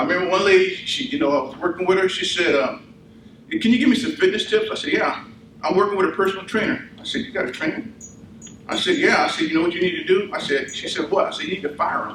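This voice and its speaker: A man talks at a very fast pace with a high pitch and very wide pitch swings. Audible room echo and noticeable background noise surround him. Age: 60s. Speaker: army veteran and fitness speaker. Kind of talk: motivational talk; audience Q&A. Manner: animated.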